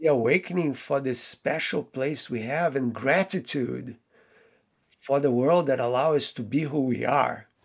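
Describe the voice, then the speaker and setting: A man with a Portuguese accent speaks in a fairly high voice. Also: ordinary pitch variation, fairly slow pace, very clean recording, silent background. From Brazil. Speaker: theoretical physicist. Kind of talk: interview.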